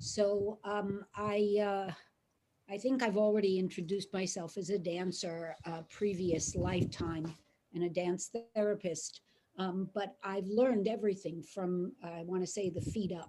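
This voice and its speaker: With a New York accent, a woman speaks fairly slowly in a dark, mellow tone and fairly even intonation. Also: medium pitch for a woman. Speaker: psychoanalyst. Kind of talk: reading poetry aloud. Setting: video call.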